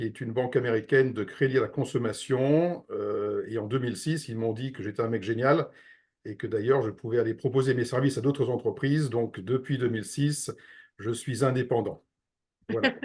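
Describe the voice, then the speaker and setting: Against a quiet background, the somewhat breathy voice keeps a fairly even intonation. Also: man, medium pitch for a man, moderate pace. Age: 60s. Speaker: real estate investment advisor. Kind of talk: interview.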